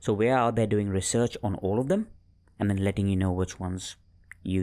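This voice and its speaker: Fairly low in pitch, a man's dark, mellow voice moves at a moderate pace with fairly even intonation. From Mumbai, India. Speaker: financial advice company founder. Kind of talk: casual interview chat. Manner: halting, stammers.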